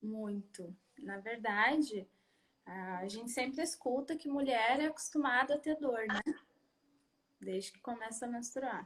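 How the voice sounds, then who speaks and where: A woman's high-pitched voice at a fairly slow pace, with long, frequent pauses. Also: ordinary pitch variation. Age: 30s. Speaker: patient giving testimony. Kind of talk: testimony.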